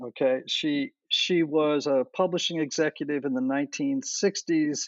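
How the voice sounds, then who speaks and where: A man's unremarkable speaking voice, fairly slow, with lively intonation. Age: 60s. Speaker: enneagram teacher and podcaster. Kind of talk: interview.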